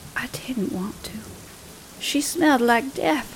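A woman with a somewhat breathy voice speaks at a fairly slow pace with lively intonation. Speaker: storyteller narrating a ghost story. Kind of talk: horror story narration, creepy old woman telling a tale. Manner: slow, hushed, eerie, with sighs and gasping menace.

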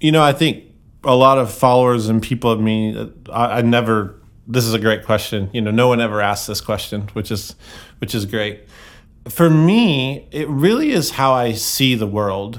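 The speaker uses an ordinary speaking voice at a moderate pace with ordinary pitch variation. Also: man, medium pitch for a man. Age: 40s. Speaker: guitar pedal company founder and photographer. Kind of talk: casual chat. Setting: live event, portable podcast rig.

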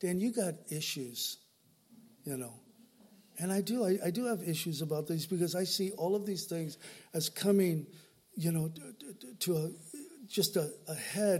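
A man talks with an American accent at a high pitch. His pitch varies in an ordinary way. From Southern California. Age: old. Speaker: pastor. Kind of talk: sermon. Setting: church. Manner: animated.

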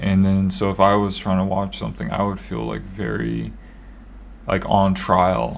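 A man's very deep, low voice at a fairly slow pace, with very wide pitch swings, audible room echo and noticeable background noise. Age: 30s. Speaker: podcast co-host. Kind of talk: casual chat.

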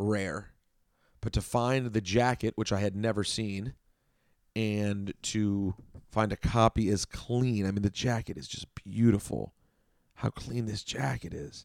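A man with an American accent talks at a very slow pace and a fairly low pitch with ordinary pitch variation and long, frequent pauses, in a very clean recording with a silent background and a dry, close sound with no echo. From DC area (Chevy Chase, Maryland). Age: 30s. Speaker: radio host and record collector. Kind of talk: casual solo podcast about records.

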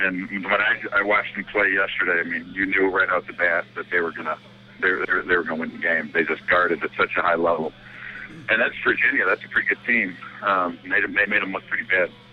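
Noticeable background noise sits under a man's fairly quick speech. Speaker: high school basketball coach. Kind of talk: interview, sports discussion.

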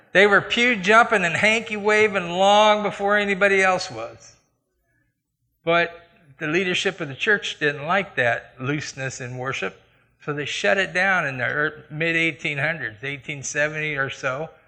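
Against a quiet background, a man with a Midwestern American accent speaks at a fairly slow pace in a high, bright, sharp voice with lively intonation. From US Midwest, Iowa. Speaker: church elder, lay preacher. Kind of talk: sermon with personal testimony. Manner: conversational.

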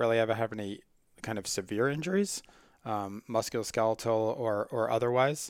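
A man with an American accent talks at a fairly quick pace and a medium pitch, in a plain, everyday voice. The recording is very clean, with a silent background. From Long Island, New York. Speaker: sports medicine doctor and researcher. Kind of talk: interview answers.

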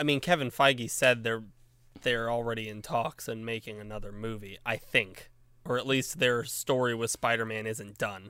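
A man talks at a moderate pace in a medium pitch. His tone is bright and sharp, and his intonation is fairly even. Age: 20s. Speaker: podcast co-host. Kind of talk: casual chat.

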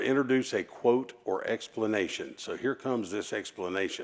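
A man talks at a moderate pace and medium pitch. His is a plain, everyday voice with ordinary pitch variation. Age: 40s. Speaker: visiting preacher. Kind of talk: sermon. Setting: church. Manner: warm, conversational, humorous.

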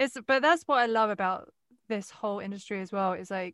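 A woman with an Essex accent talks at a moderate pace in a medium pitch, her tone animated. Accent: southern English (Essex). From England, Westcliff (Essex). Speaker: podcast host. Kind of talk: casual interview chat. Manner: animated, frequent laughter.

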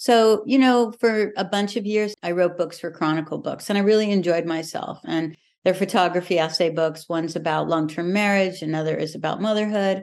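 A woman with a plain, everyday voice talks at a fairly quick pace with hardly any pauses, medium pitch and ordinary pitch variation over a quiet background. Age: 60s. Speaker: writer and writing teacher. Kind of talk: casual chat.

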